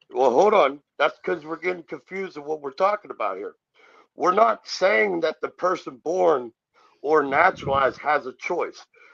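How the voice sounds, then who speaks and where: A man's high voice at a moderate pace, with ordinary pitch variation and big swings in loudness, a dry, close sound with no echo and a quiet background. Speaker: sovereign citizen commentator. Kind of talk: heated debate.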